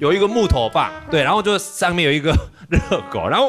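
Clear music plays in the background. The talking moves at a fairly quick pace. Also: man. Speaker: TV guest. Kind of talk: talk show chat. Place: studio. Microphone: studio mic.

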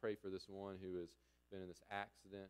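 The pace is fairly quick. Intonation stays monotone and flat. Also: man. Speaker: pastor. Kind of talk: spoken prayer. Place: church. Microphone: podium.

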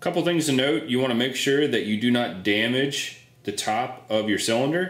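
A man is speaking. Room echo can be heard. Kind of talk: tutorial.

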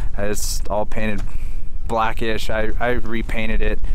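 Over light background noise, a man speaks at a very slow pace. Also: dry sound with no echo. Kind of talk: casual vlog chat. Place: open country. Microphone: phone near.

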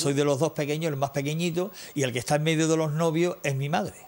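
A man's voice sits at a fairly high pitch. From Andalusia, Ronda; Andalusia. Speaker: musician; TV interview guest. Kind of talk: interview. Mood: nostalgic storytelling. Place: studio.

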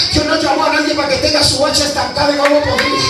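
There is strong room echo and noticeable background noise as a man speaks. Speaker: evangelist preacher. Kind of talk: fiery Pentecostal sermon. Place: church. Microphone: camera far.

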